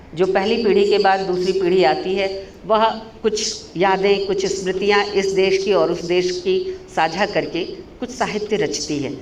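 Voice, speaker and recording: There is noticeable background noise and audible room echo as a woman speaks at a medium pitch. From India, Kolkata (West Bengal). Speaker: professor. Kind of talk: seminar lecture. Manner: halting, with fillers.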